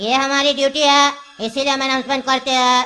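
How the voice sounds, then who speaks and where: Using a cartoonish character voice, a female-sounding speaker holds a high pitch for a woman with monotone, flat intonation at a moderate pace. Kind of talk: railway PA announcement. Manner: formal, measured.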